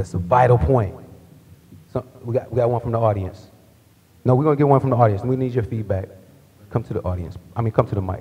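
The man speaks at a very fast pace but leaves long, frequent pauses. His pitch variation is ordinary. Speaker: panel moderator. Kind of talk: panel discussion. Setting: stage with audience. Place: hall. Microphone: podium.

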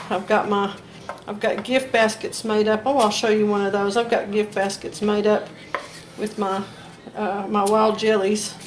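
A woman with a Southern US accent speaks at a fairly slow pace and fairly high pitch. Her intonation is monotone and flat, over light background noise. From US South. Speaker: home cooking video host. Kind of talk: cooking tutorial; casual cooking tutorial chat. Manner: casual with many fillers and hesitations. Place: kitchen. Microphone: camera far.

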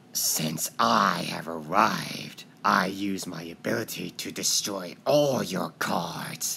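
In a put-on character voice that is raspy and very deep and low, the speaker goes at a very slow pace with hardly any pauses. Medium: fan dub. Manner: menacing, triumphant.

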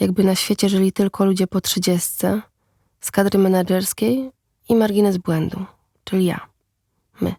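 This woman talks at a moderate pace in a medium pitch, her tone dark and mellow and her intonation flat and monotone, with long, frequent pauses. The recording is very clean with a silent background, and the sound is dry and close with no echo. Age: 30s. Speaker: podcast narrator, writer. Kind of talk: scripted narration.

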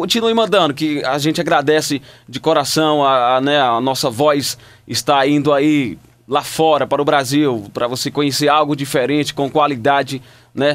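This man talks at a moderate pace with ordinary pitch variation. His pitch sits fairly high. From Maranhão, Brazil. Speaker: radio announcer, voice-over artist. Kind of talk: casual talk to camera. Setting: home studio. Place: booth. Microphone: studio mic.

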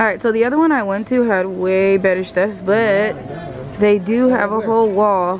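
A woman's voice at a moderate pace with ordinary pitch variation, a dry sound with no echo and light background noise. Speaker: vlogger. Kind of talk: casual vlog chat.

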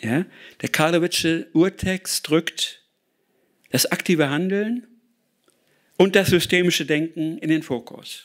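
Against a quiet background, a man speaks at a very slow pace with long, frequent pauses. His pitch is high, with ordinary variation. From Ruhr area, Germany; Germany. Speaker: author and speaker on sustainability; speaker. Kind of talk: lecture. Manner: hesitant with many filler sounds. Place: hall. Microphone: lapel.

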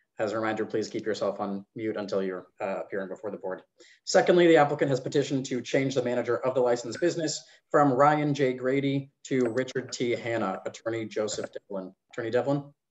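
The man talks at a very fast pace. His pitch varies in an ordinary way. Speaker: licensing board staff running the hearing. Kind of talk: formal public hearing proceedings. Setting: video call. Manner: formal. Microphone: video call.

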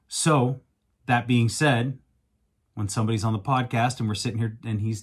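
Fairly even in intonation, a man speaks in a fairly low, somewhat breathy voice. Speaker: podcast host. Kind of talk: podcast monologue. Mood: reflective, earnest. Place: home room. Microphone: studio mic.

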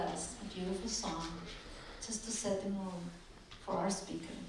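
A woman's medium-pitched voice at a moderate pace, amid noticeable background noise and strong room echo. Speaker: event organizer. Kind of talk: welcome speech. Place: hall.

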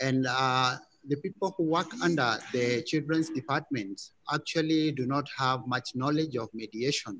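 Light background noise sits under a man's voice. He goes at a fairly slow pace with ordinary pitch variation. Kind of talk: self-introduction in online panel. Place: hall. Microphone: video call.

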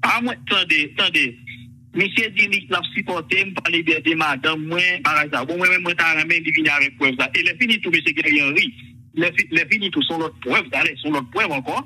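A man speaks in a high voice. His pitch moves in an ordinary way, and he talks very fast. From Haiti. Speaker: caller. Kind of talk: heated debate. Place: studio. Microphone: lapel.

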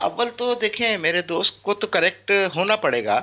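The pace of this man's speech is fairly slow. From Pakistan. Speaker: party representative; guest. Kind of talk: political debate. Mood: assertive, correcting other guest. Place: home room. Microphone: video call.

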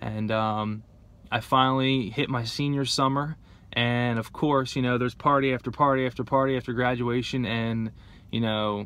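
A man with an American accent speaks at a medium pitch in a bright, sharp tone, his intonation fairly even. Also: dry sound with no echo. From New Jersey (Gloucester City). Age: 20s. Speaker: person in addiction recovery. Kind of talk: personal testimony. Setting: in a car. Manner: casual, filler-heavy. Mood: calm, reflective. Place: car. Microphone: phone near.

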